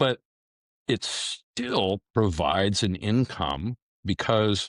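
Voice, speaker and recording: Recorded very clean with a silent background and a dry, close sound with no echo, this man speaks at a fairly low pitch. His pace is very slow, with ordinary pitch variation. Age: 60s. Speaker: retired police detective. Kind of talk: interview.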